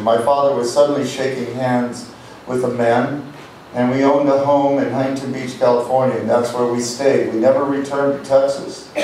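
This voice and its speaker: A man talks at a fairly quick pace amid audible room echo and light background noise. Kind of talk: storytelling between songs on stage. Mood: reflective, wistful. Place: stage.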